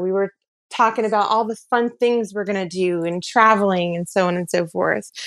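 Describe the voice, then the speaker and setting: Against a quiet background, in a dry, close recording with no echo, a woman of medium pitch talks at a moderate pace with ordinary pitch variation in an unremarkable speaking voice. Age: 40s. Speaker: podcast guest telling her dating story. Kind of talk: personal storytelling.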